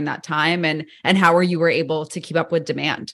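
Fairly quick speech from a woman with an unremarkable speaking voice and fairly low pitch, over a quiet background. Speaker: podcast host. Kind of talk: interview.

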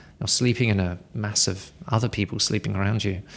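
The recording is very clean, with a silent background. A man with an English accent speaks at a fairly low pitch. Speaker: podcast co-host. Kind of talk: casual chat. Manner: halting.

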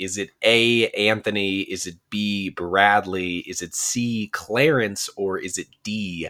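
Over a silent background in a very clean recording, a man speaks at a very slow pace. His fairly low pitch has a bright, sharp tone and ordinary pitch variation. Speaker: podcast host. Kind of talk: casual chat.

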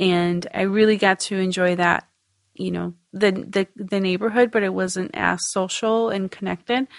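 A woman's unremarkable speaking voice, medium in pitch, at a moderate pace with fairly even intonation. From Mexico, raised in Michigan. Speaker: DACA recipient, dreamer advocate. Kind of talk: interview telling personal story.

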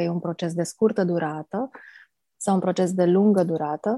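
A woman speaks calmly at a fairly low pitch with a dark, mellow tone and fairly even intonation, in a dry, close sound with no echo on a very clean recording with a silent background. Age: 40s. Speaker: age reversal coach. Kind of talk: interview.

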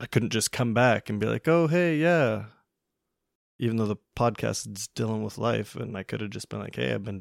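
A man with an unremarkable speaking voice talks at a moderate pace in a fairly low pitch, his intonation lively. The recording is very clean with a silent background, and the sound is dry and close with no echo. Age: 20s. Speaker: podcaster. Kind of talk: personal monologue. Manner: conversational, candid.

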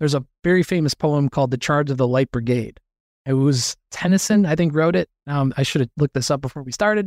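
The speech runs very fast with ordinary pitch variation. The sound is dry and close with no echo, and the recording is very clean over a silent background. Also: man, fairly high pitch for a man. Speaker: personal injury lawyer. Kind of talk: casual interview chat. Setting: podcast recording with good mic.

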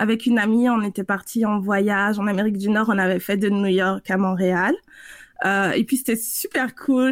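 A woman with a normal speaking voice, medium pitch, fairly even intonation and a fairly slow pace, on a very clean recording with a silent background. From French Guiana. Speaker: consultant and coach. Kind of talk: interview.

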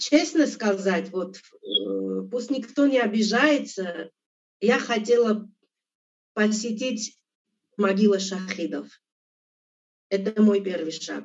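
A woman with an Armenian accent speaks at a very slow pace with long, frequent pauses. Her fairly high pitch carries vocal fry and ordinary pitch variation. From Armenia, Abovyan. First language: Armenian (speaking Russian). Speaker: interview guest. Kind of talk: interview.

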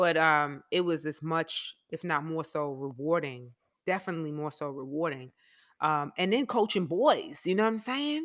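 A woman with a New York accent, fairly low pitch, ordinary pitch variation and a moderate pace, in a very clean recording with a silent background. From New York, the Bronx. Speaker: former basketball player, school counselor and coach. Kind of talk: casual chat.

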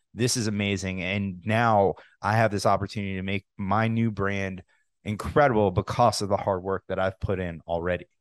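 Recorded dry and close with no echo, a man with an unremarkable speaking voice talks at a moderate pace, fairly low in pitch and with fairly even intonation. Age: 30s. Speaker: podcast host. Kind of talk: casual interview.

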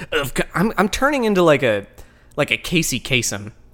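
A man talks at a moderate pace in a playful tone, his fairly high voice showing vocal fry and swinging very widely in pitch. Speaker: podcast co-host. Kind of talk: reading aloud product text with jokes. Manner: playful put-on reading voice.

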